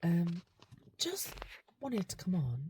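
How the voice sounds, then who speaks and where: A woman whispers with an English accent. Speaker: vlogger and salon owner. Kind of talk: casual vlog. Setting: in a car. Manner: whispering.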